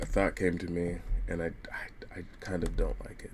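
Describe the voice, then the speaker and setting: Someone whispers at a moderate pace. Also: man. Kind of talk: casual live-stream commentary while working. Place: home room. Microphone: webcam.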